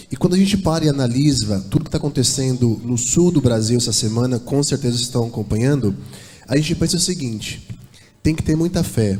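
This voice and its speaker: A man speaks at medium pitch with ordinary variation and a somewhat breathy quality. Room echo is audible. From São Paulo, Brazil. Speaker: church singer. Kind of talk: church address before a hymn. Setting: church.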